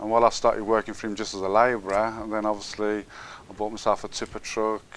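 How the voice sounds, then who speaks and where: A man talks at a very fast pace in a Brummie accent. His fairly low pitch stays monotone and flat. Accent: Brummie (Birmingham) English. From Birmingham, England. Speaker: businessman. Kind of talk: interview. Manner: halting.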